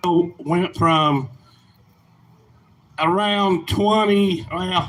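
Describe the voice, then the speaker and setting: A high-pitched man with an American accent and lively intonation. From Indiana. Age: 60s. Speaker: farmer and trucking business owner. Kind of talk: rally speech. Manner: halting.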